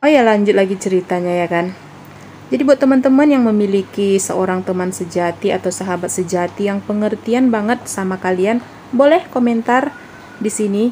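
A woman talks at a fairly quick pace with ordinary pitch variation. Light background noise can be heard. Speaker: home cook vlogger. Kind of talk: casual vlog chat. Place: kitchen. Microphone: phone near.

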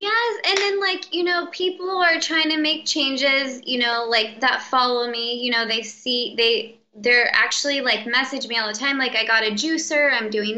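A woman's high, raised and projected voice, lively in intonation, at a fairly slow pace. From Mexican-American background. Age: 20s. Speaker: chronic illness patient sharing recovery story; interview guest. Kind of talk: interview. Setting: call. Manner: animated. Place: home room. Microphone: video call.

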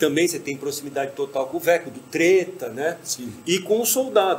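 A man speaks at a high pitch with lively intonation. There is light background noise. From Brazil. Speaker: podcast host. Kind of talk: casual chat. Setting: bar or venue with stage. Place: stage.

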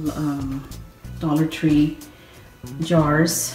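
A woman speaks quietly, her pitch very deep and low. Faint music plays in the background, and room echo is audible. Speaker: home decor vlogger. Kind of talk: home tour talk to camera. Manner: low, quiet voice. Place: kitchen. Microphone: phone near.

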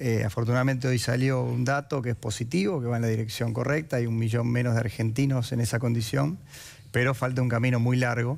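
Speaking at a very fast pace, a man keeps his intonation fairly even. His loudness stays very even throughout. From Argentina, Santa Fe. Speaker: politician. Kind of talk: political debate. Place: studio. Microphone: headset.

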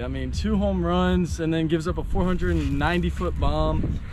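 Dry sound with no echo carries moderately paced speech over noticeable background noise. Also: man. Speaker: high school player acting as mock interviewer. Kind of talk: joking mock sports interview commentary. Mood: playful, joking. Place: stadium. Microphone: phone near.

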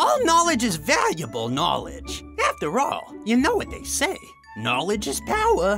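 With faint music in the background, a man does a cartoonish character voice at a fairly slow pace, high-pitched with a bright, sharp tone and very wide pitch swings.

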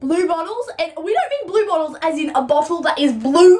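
A woman speaks in an Australian accent at a fairly quick pace. Her intonation is lively. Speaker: comedy vlogger. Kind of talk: casual comedy sketch. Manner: animated. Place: home room. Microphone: camera far.

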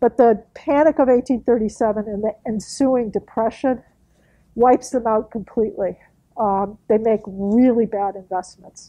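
A moderate pace with ordinary pitch variation. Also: woman. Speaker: historian. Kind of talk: lecture. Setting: meeting room with audience. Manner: loud, projecting.

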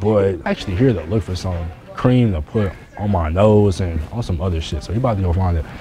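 A man with a very deep, low pitch talks at a very fast pace with ordinary pitch variation, faint music playing in the background. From Cleveland, Ohio; Ohio. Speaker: YouTuber vlogger; vlogger. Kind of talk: casual vlog. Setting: in stores, out and about. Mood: loose, joking, profane. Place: shop. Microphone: camera far.

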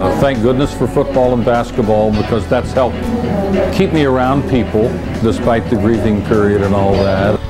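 Loud music plays in the background as the speaker talks at a moderate pace. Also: man. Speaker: longtime sports broadcaster. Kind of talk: interview answer. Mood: reflective, grateful. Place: stadium.

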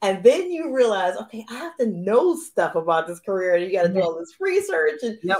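Against a quiet background, a woman talks at a fairly quick pace with hardly any pauses, her pitch swinging very widely and her loudness shifting a lot. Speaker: romance author and show host. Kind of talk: live interview chat. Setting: live video stream. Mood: cheerful, laughing. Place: home room. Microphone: video call.

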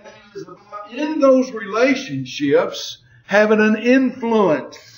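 The delivery comes at a very slow pace, with lively intonation and big swings in loudness. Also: man, high pitch for a man. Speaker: Bible teacher. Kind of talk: Bible lesson.

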